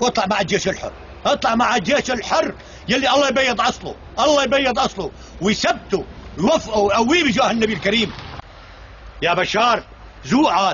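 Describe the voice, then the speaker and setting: Animated in tone and lively in intonation, the voice keeps a moderate pace and very even loudness over noticeable background noise. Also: man. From Syria, Douma (Damascus countryside). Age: 60s. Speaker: elderly villager. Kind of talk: angry rant. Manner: animated, loud.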